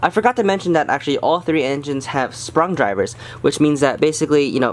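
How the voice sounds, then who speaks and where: A man rushes along at a very fast pace, his pitch varying in an ordinary way. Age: young. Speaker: model railroad hobbyist. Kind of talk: casual product review to camera. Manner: hesitant, stuttering, many fillers. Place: home room.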